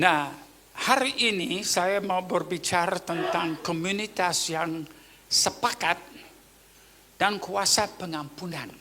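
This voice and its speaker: At a very slow pace, a man with a Papua New Guinean accent speaks in a high pitch with ordinary pitch variation. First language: Tok Pisin (speaking Indonesian). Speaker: pastor. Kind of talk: sermon.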